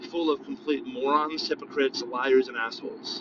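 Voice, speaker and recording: Against noticeable background noise, a man's pitch swings very widely. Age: 30s. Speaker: podcast host. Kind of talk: solo opinion monologue. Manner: casual, filler-heavy.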